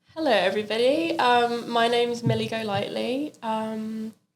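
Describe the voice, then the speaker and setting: A woman's fairly high voice in a London accent, with ordinary pitch variation. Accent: English (London area). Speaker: singer. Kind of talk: interview.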